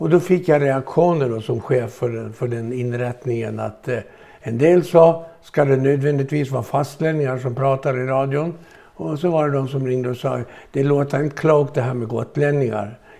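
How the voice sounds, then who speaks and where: Pitch varies in an ordinary way as the speech unfolds at a moderate speed. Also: man, medium pitch for a man. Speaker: former lottery presenter and dialect society chairman. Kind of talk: casual interview.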